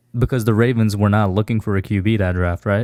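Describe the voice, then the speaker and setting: Speaking quietly at a very fast pace, a man with a fairly low pitch keeps his intonation fairly even, in a dry, close sound with no echo. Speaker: sports fan panelist. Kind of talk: casual sports debate.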